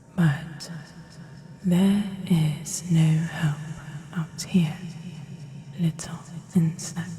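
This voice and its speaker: In a put-on character voice with a British accent, a woman speaks in a menacing tone at a very slow pace, with monotone, flat intonation and long, frequent pauses over light background noise. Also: fairly low pitch for a woman. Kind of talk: audio roleplay. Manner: slow, menacing.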